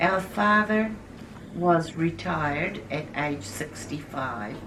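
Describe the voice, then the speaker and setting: A woman speaks very slowly at a fairly low pitch with lively intonation. Music plays in the background. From New Zealand. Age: 70s. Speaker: Anglican minister. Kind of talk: interview answer.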